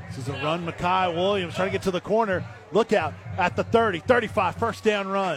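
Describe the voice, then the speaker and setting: A man's high voice at a moderate pace with ordinary pitch variation, against noticeable background noise. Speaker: play-by-play sports announcer. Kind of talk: live high school football play-by-play. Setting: stadium broadcast booth. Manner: rising, excited yard-by-yard countdown on a breakaway run; brisk, energetic, clipped snap-by-snap narration.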